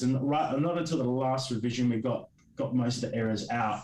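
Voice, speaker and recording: With an Australian accent, a man speaks at a medium pitch and a fairly quick pace. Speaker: comic creator. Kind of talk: interview. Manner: halting.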